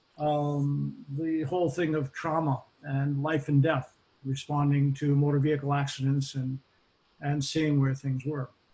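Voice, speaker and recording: In a Boston accent, a man speaks slowly with a fairly high pitch, a dark, mellow tone, a somewhat breathy quality, and monotone, flat intonation. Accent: American Boston. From US Northeast, Boston area (Massachusetts). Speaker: occupational safety expert. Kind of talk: interview. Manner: hesitant, many fillers.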